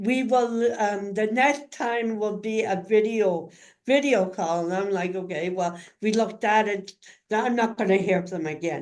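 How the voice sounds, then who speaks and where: An unremarkable speaking voice with ordinary pitch variation, moving at a moderate pace. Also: woman, medium pitch for a woman. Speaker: community advocate and caregiver in a wheelchair. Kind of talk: interview, personal story.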